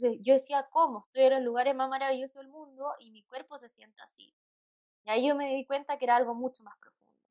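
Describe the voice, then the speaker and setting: Speaking very fast with a Chilean accent, the woman has a high pitch, a monotone, flat intonation and big swings in loudness. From Santiago, Chile. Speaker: psychologist. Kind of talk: interview.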